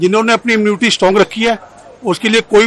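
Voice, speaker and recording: At a moderate pace, a man speaks in a high pitch. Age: 70s. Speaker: member of the public interviewed on street. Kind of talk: street interview.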